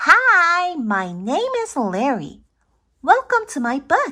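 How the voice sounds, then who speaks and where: A squeaky, put-on character voice at an extremely high pitch swings very widely in pitch at a very slow pace, on a very clean recording with a silent background. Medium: read story. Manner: excitable.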